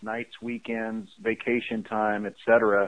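A man with an American accent and an ordinary speaking voice talks at a moderate pace in a medium pitch. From US Midwest, Chicago area. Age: 40s. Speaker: Air Force veteran and franchise business founder. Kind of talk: interview.

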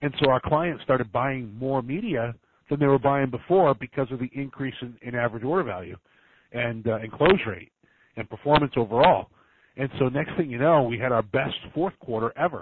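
Speaking with an unremarkable speaking voice, this man keeps a moderate pace, a medium pitch and ordinary pitch variation. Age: 40s. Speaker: entrepreneur, call center CEO. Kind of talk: interview. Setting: phone call.

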